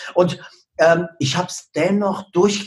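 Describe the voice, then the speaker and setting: The voice belongs to a man. It sits high in pitch. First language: not German (speaking German). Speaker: social media marketing coach. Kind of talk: podcast interview.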